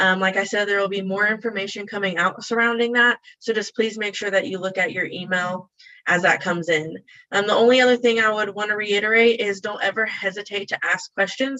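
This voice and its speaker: At a fairly quick pace, the delivery keeps a fairly even intonation. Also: woman, medium pitch for a woman. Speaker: university dining staff. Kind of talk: webinar panel answers. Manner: fast.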